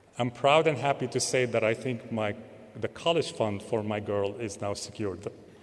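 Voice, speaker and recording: Ordinary pitch variation marks a plain, everyday voice. The pace is moderate. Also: man, medium pitch for a man. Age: 50s. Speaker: professor and panel moderator. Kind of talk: panel introduction speech.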